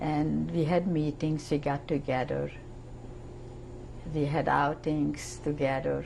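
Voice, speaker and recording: A woman speaks in a Hungarian accent at a very slow pace. Room echo is audible. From Hungary. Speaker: Holocaust survivor. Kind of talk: testimony.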